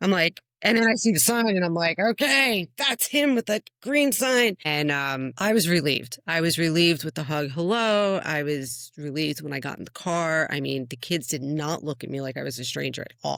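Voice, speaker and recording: A strong New Jersey accent, an animated tone, a moderate pace and hardly any pauses. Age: old. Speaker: podcast co-host. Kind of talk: casual chat.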